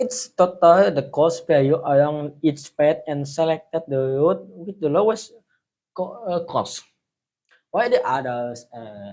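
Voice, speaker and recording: At a fairly slow pace, a man speaks with a fairly high pitch. His voice shows very wide pitch swings and big swings in loudness. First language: not English. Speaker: IT tutorial youtuber. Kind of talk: tutorial. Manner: halting.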